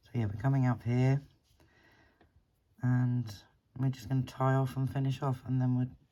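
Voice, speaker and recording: Mumbling at a moderate pace, broken by long, frequent pauses. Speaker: beading tutorial creator. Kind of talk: tutorial. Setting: living room at home. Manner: halting, long pauses.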